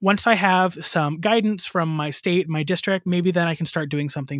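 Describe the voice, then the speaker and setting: In a very clean recording with a silent background, a man with a Midwestern accent speaks in a high voice at a fairly quick pace with ordinary pitch variation. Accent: General American (Midwest). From US Midwest, northwest Ohio. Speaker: elementary music teacher. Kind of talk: casual interview.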